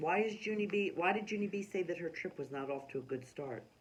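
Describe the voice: The intonation rises and falls in a lively way. The delivery is plain reading aloud.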